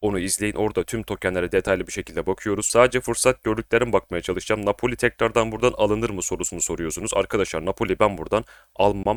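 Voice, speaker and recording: A man's fairly low voice at a very fast pace, with fairly even intonation and hardly any pauses, in a dry, close sound with no echo on a very clean recording with a silent background. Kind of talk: market analysis tutorial. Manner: casual, conversational.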